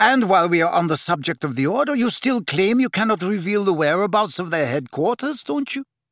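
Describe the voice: In a put-on character voice, a man growls at a high pitch with big pitch swings, a fairly bright tone and a fairly quick pace, in a dry, close sound with no echo on a very clean recording with a silent background.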